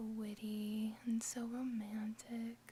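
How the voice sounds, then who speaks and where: Soft-spoken delivery at a very slow pace over noticeable background noise. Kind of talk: casual talk to camera.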